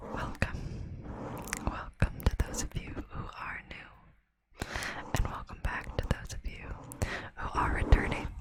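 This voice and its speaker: Whispered words come at a fairly slow pace through noticeable background noise. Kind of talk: ASMR facts narration to camera. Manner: whispered, soft-spoken.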